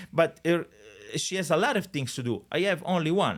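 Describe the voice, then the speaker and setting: At a moderate pace, a speaker with an Italian accent uses lively intonation on a very clean recording with a silent background. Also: man. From Italy. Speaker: real estate agent. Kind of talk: podcast interview. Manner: hesitant, many fillers.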